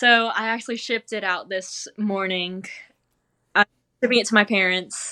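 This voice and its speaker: On a very clean recording with a silent background, a woman with a Southern US accent speaks in a bright, sharp tone. Her pace is moderate, with long, frequent pauses. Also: medium pitch for a woman. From North Carolina, US. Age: 20s. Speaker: cheese-rolling champion. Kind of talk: interview.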